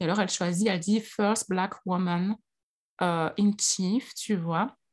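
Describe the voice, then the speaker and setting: Over a silent background on a very clean recording, a woman talks at a fairly slow pace in a somewhat breathy voice of medium pitch. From Belgium, Liège. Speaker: astrology coach and author. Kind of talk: interview.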